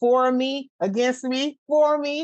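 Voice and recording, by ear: The speech moves at a slow pace with fairly even intonation. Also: woman, high pitch for a woman.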